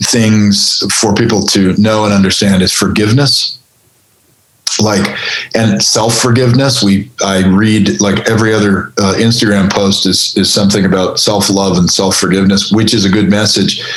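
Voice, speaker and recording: Heard with audible room echo, a man speaks with very even loudness and fairly even intonation. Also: fairly low pitch for a man, moderate pace. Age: 60s. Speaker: creature effects artist. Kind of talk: podcast interview. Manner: halting.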